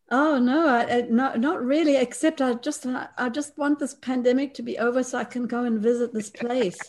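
A high-pitched female voice, mostly level in its intonation, at a middling speed. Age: 70s. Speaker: retired professor. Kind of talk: casual conversation.

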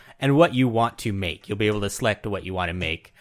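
The intonation of this man's voice is lively. The recording is very clean, with a silent background. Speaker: podcast host. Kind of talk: casual chat. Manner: mumbling.

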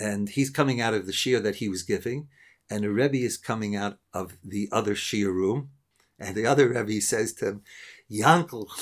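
A man with an American accent speaks in a normal speaking voice, his pitch fairly low and its variation ordinary. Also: very clean recording, silent background. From United States. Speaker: rabbi. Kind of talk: casual chat.

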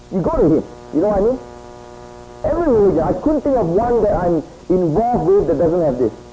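A man with a high pitch and very wide pitch swings, at a very fast pace with long, frequent pauses and very even loudness, over noticeable background noise. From Singapore. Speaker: preacher. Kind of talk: sermon. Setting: stage with audience.

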